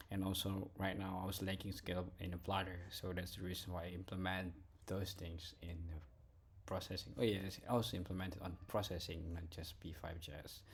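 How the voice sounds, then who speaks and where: Fairly quick, somewhat breathy delivery in a monotone, flat intonation, with audible room echo. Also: man, very deep, low pitch for a man. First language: not English. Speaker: programmer showing work progress. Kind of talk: screen-share progress report. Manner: halting, many fillers.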